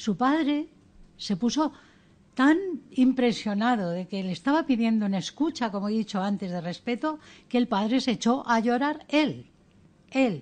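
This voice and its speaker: A woman's fairly high voice at a moderate pace, lively in intonation, with long, frequent pauses against a quiet background. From Spain, Ceuta and Melilla area. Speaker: educator and author. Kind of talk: radio interview. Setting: studio.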